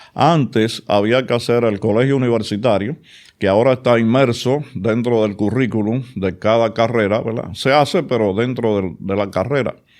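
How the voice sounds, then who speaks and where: A man speaks at a medium pitch and a moderate pace, with a Dominican accent. His pitch varies in an ordinary way against a quiet background. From Dominican Republic, Santo Domingo (Villa Juana). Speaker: oral and maxillofacial surgeon. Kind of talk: interview.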